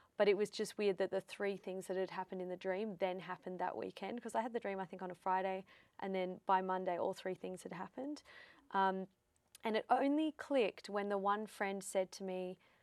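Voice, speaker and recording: A woman with an Australian accent talks at a fairly quick pace, her voice dry and close with no echo on a very clean recording over a silent background. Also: medium pitch for a woman, ordinary pitch variation. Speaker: psychic medium. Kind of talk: interview.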